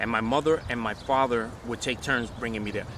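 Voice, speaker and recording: A man with a New York accent, flat monotone intonation, and noticeable background noise. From New York City, Upper West Side. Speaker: hip hop DJ, producer and engineer. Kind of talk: oral history interview answer. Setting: outdoors. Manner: casual, conversational.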